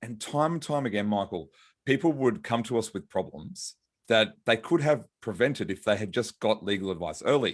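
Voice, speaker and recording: A man with an Australian accent talks at a moderate pace and a medium pitch. His intonation is lively, and the recording is very clean with a silent background. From Australia, Brisbane. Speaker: lawyer and author. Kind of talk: podcast interview.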